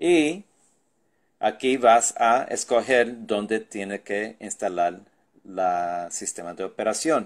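The man's intonation is lively, though his pace is very slow. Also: medium pitch for a man. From New York (Brooklyn), Puerto Rican parents. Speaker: tech tutorial youtuber. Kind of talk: tutorial.

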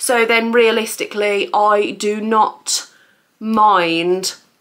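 A woman's voice over light background noise. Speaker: haul vlogger. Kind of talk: casual vlog chat. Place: home room. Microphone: camera far.

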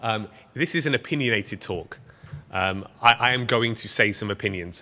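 A man with an English accent, a bright, sharp tone and ordinary pitch variation. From Britain. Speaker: software engineer, project lead. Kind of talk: live coding conference talk. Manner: casual, joking. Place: meeting room.

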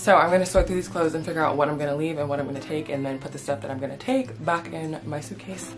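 A woman talks at a very fast pace in a very deep, low pitch while music plays clearly in the background. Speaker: lifestyle vlogger. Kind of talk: casual vlog chat. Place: home room. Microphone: phone near.

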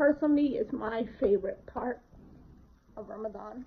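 At a fairly slow pace, a woman speaks in a high pitch with fairly even intonation. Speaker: home cook vlogger. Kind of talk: casual vlog chat. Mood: warm, reflective. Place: home room. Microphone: phone near.

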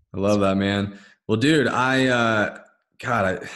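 Audible room echo surrounds a man with an American accent who speaks fairly slowly at a fairly low pitch with ordinary pitch variation. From Dallas-Fort Worth, Texas. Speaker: podcast host, nutrition coach. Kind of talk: casual interview. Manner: animated.

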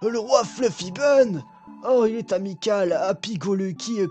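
A man uses a put-on character voice, high in pitch and at a fairly slow pace. Clear music plays in the background.

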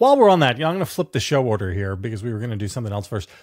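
Very wide pitch swings against a quiet background. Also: man. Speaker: political commentator, show co-host. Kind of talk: commentary. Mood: sardonic, animated. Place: home room.

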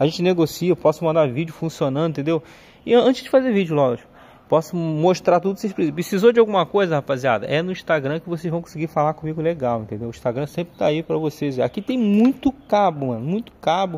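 A man's very fast, lively delivery at a fairly high pitch, in a dark, mellow tone. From Brazil. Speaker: video game modder and seller; seller. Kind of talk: casual haul video showing purchases. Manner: informal, chatty with slang. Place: garden. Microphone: phone near.

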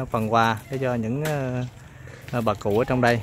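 A man is speaking, and the sound is dry with no echo. Light background noise can be heard. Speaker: charity volunteer delivering donations to elderly care home. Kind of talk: casual donation-handover narration. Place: street. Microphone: phone near.

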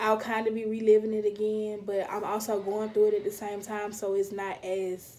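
This woman's voice is fairly high in pitch. She speaks at a moderate pace. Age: 20s. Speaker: YouTube vlogger; vlogger. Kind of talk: personal vlog monologue; casual vlog chat, storytime. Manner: casual, many filler ums. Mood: earnest, reflective. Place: home room. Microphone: phone near.

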